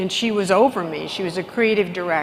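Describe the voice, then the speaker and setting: A woman speaks at a fairly quick pace with ordinary pitch variation. There is noticeable background noise. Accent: American. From Texas. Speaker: business executive and keynote speaker. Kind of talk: conference keynote speech. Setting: stage with large audience.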